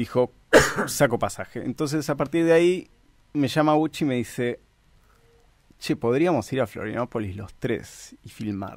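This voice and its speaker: Speaking in a Rioplatense accent, a man keeps a moderate pace and a medium pitch. His intonation is lively, broken by long, frequent pauses. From Argentina. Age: 30s. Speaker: filmmaker and screenwriter. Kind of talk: radio interview.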